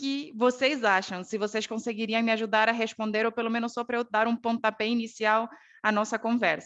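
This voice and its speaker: A woman's fairly high-pitched voice against a quiet background. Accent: Bolivian. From Bolivia. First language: Spanish (speaking Portuguese). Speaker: ergonomist and quality management professor. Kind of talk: online talk presentation. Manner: halting, many fillers.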